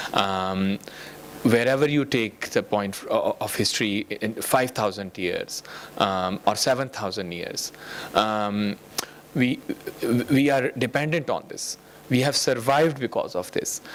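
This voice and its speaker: A man speaks at a fairly slow pace with long, frequent pauses, his medium pitch showing ordinary variation, over noticeable background noise. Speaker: UN official giving a speech. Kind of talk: conference speech. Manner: halting, many fillers.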